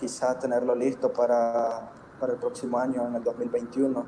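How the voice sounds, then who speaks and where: Noticeable background noise sits behind a man speaking at a fairly slow pace. His intonation is monotone and flat. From Nicaragua, Chinandega. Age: 20s. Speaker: poet and law student. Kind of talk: interview.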